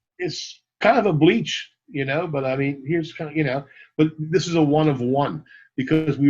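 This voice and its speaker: Somewhat breathy and fairly high-pitched, a man speaks at a moderate pace with ordinary pitch variation. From Canada, Montreal. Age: 60s. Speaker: rock t-shirt merchandise entrepreneur. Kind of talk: podcast interview. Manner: animated.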